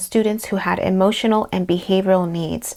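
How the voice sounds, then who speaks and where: A woman with a Spanish accent at a moderate pace. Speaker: therapist, social worker. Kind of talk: personal introduction to camera. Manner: playful.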